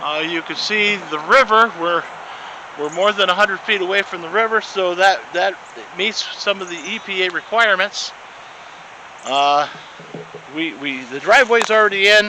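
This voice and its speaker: Raising and projecting his voice, a man speaks at a high pitch and moderate pace with ordinary pitch variation and long, frequent pauses, amid noticeable background noise. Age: 50s. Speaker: property owner giving video tour. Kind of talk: casual walking video tour. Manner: halting, many fillers and repeats.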